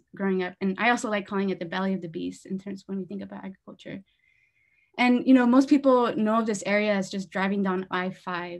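Against a quiet background, a woman talks at a very fast pace with ordinary pitch variation and big swings in loudness. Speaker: presenter. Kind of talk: lecture. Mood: warm, personal, slightly nervous. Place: home room. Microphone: video call.

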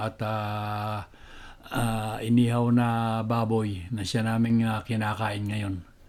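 At a fairly slow pace, a man talks at a medium pitch in a monotone, flat intonation. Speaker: vlogger. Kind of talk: casual cooking vlog. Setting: outdoors, backyard. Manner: halting, many fillers.

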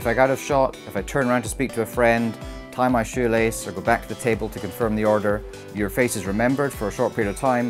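Over clear background music, a man with a fairly low pitch talks at a very fast pace, his pitch varying in an ordinary way. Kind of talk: interview answer. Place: bar.

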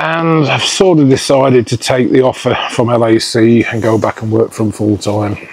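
A man's medium-pitched voice with an English accent, at a moderate pace with hardly any pauses, ordinary pitch variation and noticeable background noise. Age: 50s. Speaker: vlogger. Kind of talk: casual vlog chat. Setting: outdoors. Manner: animated.

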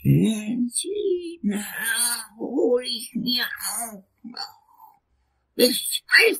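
A man's put-on character voice at an extremely high pitch, very slow, with long, frequent pauses and big swings in loudness. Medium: audio drama. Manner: dry, curt.

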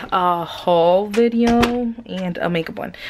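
Over light background noise, the voice goes at a very slow pace with ordinary pitch variation. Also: woman. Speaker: vlogger. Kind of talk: casual vlog chat. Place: home room. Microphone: phone near.

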